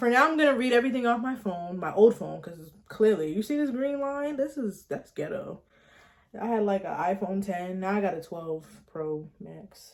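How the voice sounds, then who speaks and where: A woman speaks at a medium pitch and a moderate pace in an animated tone. Her pitch swings very widely, and her loudness shifts in big swings. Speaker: YouTuber. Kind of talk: storytime vlog, reading viewer stories with commentary. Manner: animated, casual.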